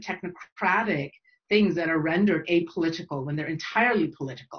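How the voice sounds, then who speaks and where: A woman's somewhat breathy, fairly low voice with ordinary pitch variation. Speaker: academic geographer. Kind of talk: panel Q&A answer. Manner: fast; hesitant, many fillers.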